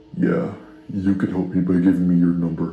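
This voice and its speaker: A man does a raspy put-on character voice, very deep and low, in a monotone, flat delivery at a moderate pace with slight echo. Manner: flirtatious.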